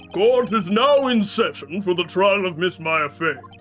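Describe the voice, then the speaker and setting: A put-on character voice at middle pitch and a moderate pace, with clear music in the background. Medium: game stream. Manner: formal.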